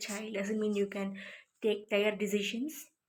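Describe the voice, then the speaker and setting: A somewhat breathy woman's voice, fairly high in pitch. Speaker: self-described psychic. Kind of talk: casual talk to camera. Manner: hesitant, stammering.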